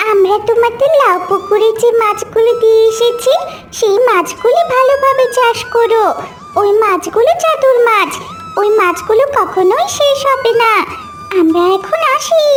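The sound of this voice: Over clear background noise, a cartoonish character voice at an extremely high pitch speaks at a moderate pace.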